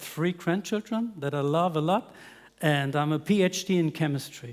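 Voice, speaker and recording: A man's fairly high-pitched, plain, everyday voice at a moderate pace with ordinary pitch variation. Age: 60s. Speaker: business development manager at a glass company, chemist. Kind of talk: panel discussion.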